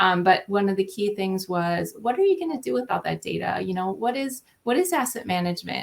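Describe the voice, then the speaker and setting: A woman with a slight Minnesota accent, at a fairly quick pace with hardly any pauses. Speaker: state transportation agency asset manager. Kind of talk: panel discussion.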